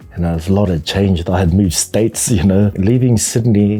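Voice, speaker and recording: A man talks at a fairly quick pace in a very deep, low pitch. Noticeable background noise runs behind him. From New Zealand, of Tongan heritage. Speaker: panel beater and tattoo artist. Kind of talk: casual interview. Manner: halting, many fillers.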